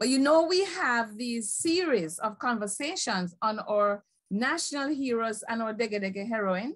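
A woman speaks at a moderate pace in a fairly high voice, with hardly any pauses. Her pitch swings very widely against a quiet background. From Jamaica. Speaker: history professor moderating a panel. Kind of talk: panel discussion. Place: home room. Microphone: video call.

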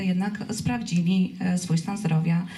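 A woman speaks in a plain, everyday voice. Her pitch is medium and varies in an ordinary way. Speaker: corporate CSR director. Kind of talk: press conference. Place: stage.

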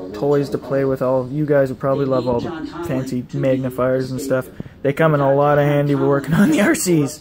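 Noticeable background noise sits behind the voice. A man talks at a moderate pace. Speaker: video blogger and RC hobbyist. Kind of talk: casual vlog monologue. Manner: rambling, filler-heavy. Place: home room. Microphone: phone near.

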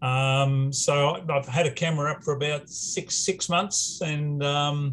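A man with an Australian accent speaks in a somewhat breathy, fairly high voice at a fairly slow pace over light background noise. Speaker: retired scientist and amateur meteor observer. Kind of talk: conference presentation. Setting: video call. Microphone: video call.

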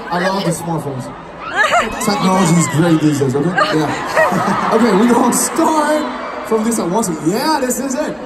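A man speaks at a moderate pace. Crowd noise can be heard behind him. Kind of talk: stage banter to audience. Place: stadium.

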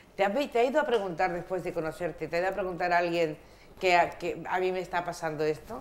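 Talking at a very fast pace, a woman has a fairly low pitch with ordinary pitch variation. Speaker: radio host. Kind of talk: radio magazine show. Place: studio.

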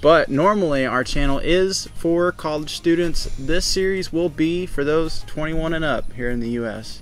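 With hardly any pauses, a man speaks at a moderate pace and with ordinary pitch variation, the sound dry with no echo and faint music playing in the background. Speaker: channel co-host. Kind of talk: casual vlog chat. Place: garden.

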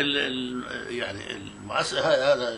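A man with a Palestinian accent, heard over light background noise. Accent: Palestinian rural Arabic. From Palestine, Tira near Tulkarm. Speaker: Nakba witness. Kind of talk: oral history interview answer. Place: home room.

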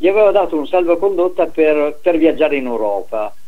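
A man with an unremarkable speaking voice. His pitch sits fairly high. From northern Italy, Veneto (Treviso area); Veneto, Italy. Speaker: retired professor, sociologist; radio talk show guest. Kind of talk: interview. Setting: phone call. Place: home room.

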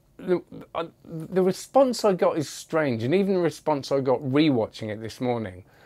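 A man's dark, mellow tone at a moderate pace, with very wide pitch swings. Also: quiet background. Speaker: magic product reviewer. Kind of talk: casual review commentary. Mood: amused, chatty. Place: home room. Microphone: lapel.

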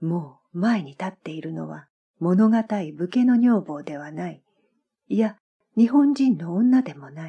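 A woman speaks at a fairly slow pace in a fairly low, somewhat breathy voice with a dark, mellow tone. Her pitch swings very widely and her loudness rises and falls sharply, yet the tone stays calm and soothing. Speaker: former Japanese teacher. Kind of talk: literary audiobook reading. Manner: calm, soothing.

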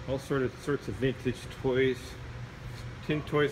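A man speaks in a monotone, flat intonation. Noticeable background noise sits behind him. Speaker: auction house presenter. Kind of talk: sales pitch walkthrough of auction lots, promotional video tour. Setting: walking through warehouse showing items on camera. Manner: casual, friendly, conversational with filler words. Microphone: phone near.

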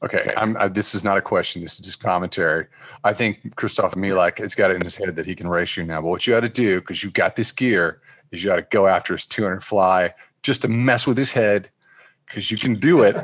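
Against a quiet background with dry sound and no echo, a man talks at a very fast pace with ordinary pitch variation. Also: fairly low pitch for a man. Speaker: swimming podcast host. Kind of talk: casual interview. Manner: animated. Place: home room. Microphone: studio mic.

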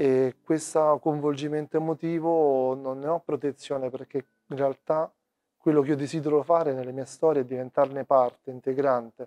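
Against a quiet background, a man with a fairly high pitch and a dark, mellow tone speaks in a monotone, flat intonation, the sound dry with no echo. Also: moderate pace. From Rome, Italy; Italy. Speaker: documentary photographer. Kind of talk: interview. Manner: halting. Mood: calm, reflective. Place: hall. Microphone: lapel.

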